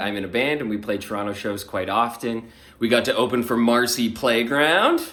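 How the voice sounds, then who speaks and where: This man speaks at a moderate pace in a Canadian accent, with medium pitch and an animated tone. Room echo is audible. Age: 20s. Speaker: radio host. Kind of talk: audition video monologue. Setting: radio studio and home.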